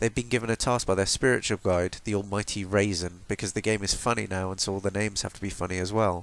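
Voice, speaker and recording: A man with a fairly low voice rushes along at a very fast pace, his pitch varying in an ordinary way. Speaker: video game critic. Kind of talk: video essay narration. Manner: heavy breathing, slightly slurred.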